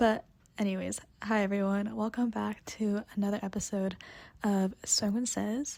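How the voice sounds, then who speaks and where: Quiet speech comes at a fairly slow pace. The recording is very clean, with a silent background. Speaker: book reviewer. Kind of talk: casual book review vlog. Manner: quiet, toned down.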